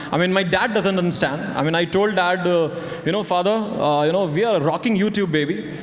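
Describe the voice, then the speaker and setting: Amid noticeable background noise and audible room echo, a man talks fairly quickly in a high pitch, keeping very even loudness and ordinary pitch variation. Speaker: comedy video creator. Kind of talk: comedic stage interview. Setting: stage with audience. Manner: halting.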